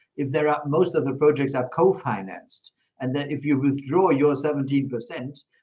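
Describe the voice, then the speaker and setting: A somewhat breathy man with a German accent, at a fairly quick pace and with fairly even intonation. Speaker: politician. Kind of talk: panel discussion. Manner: halting, many fillers.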